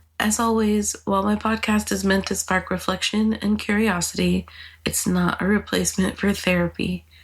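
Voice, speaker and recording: Her voice is breathy, with very even loudness at a moderate pace. The woman is recorded very cleanly against a silent background. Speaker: podcast host. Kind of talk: solo podcast monologue. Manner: casual, conversational.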